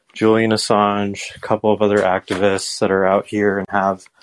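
The recording is dry and close with no echo as a man talks at a moderate pace in a fairly low, monotone, flat voice. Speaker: caller. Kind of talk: casual chat.

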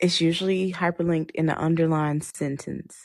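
Speaking in a fairly low pitch, this woman has an unremarkable speaking voice and fairly even intonation. The background is quiet. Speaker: astrology show host. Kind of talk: live astrology reading and chat.

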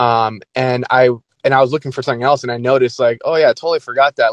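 A man speaks in an unremarkable speaking voice at a medium pitch, with fairly even intonation. The sound is dry and close, with no echo. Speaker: caller. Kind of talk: casual chat.

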